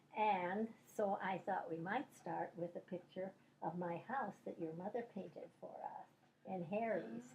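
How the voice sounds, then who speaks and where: A woman with an American accent, somewhat breathy at a medium pitch, speaking at a fairly slow pace with lively intonation. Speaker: grandmother telling life stories. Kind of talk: oral history interview. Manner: halting.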